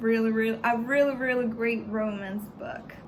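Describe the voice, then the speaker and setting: A woman speaks with a Spanish accent at a fairly high pitch, with ordinary pitch variation. Audible room echo surrounds her voice. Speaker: book vlogger. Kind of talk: casual book review vlog. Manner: halting, repeats words.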